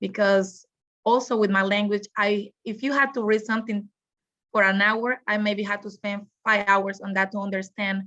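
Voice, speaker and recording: In a Spanish accent, a woman speaks with a bright, sharp tone. Her intonation is monotone and flat. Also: medium pitch for a woman, moderate pace. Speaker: graduate student. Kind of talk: testimony. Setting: video call.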